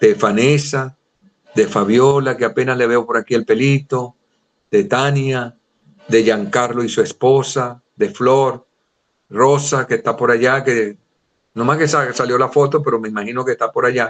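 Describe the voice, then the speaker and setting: In an ordinary speaking voice, a man at medium pitch talks at a fairly slow pace with ordinary pitch variation. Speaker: Bible teacher. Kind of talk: lecture.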